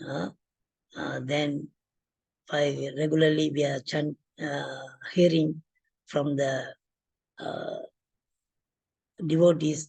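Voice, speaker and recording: The speaker talks very slowly. Pauses are long and frequent. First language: not English. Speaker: devotee giving a course presentation. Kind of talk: class presentation. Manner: halting, many fillers.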